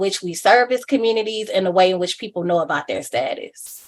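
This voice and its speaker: A woman's unremarkable speaking voice at medium pitch and a fairly quick pace. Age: 30s. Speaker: HIV advocate and human rights activist. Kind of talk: interview answer.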